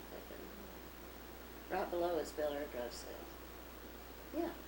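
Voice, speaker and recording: This woman talks with a Texan accent. Noticeable background noise can be heard behind her. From Dallas, Texas. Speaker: businesswoman. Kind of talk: interview answer.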